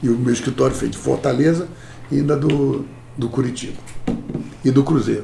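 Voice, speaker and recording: In a space with audible room echo, a man of medium pitch talks at a moderate pace with long, frequent pauses. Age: 60s. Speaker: corporate lawyer. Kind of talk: interview. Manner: animated.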